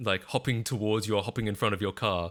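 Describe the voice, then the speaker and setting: Fairly quick speech comes from a man with an Australian accent, in a fairly low pitch with a bright, sharp tone. The recording is very clean, with a silent background. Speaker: streamer. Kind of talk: casual chat. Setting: live stream. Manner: halting, with fillers and repeats.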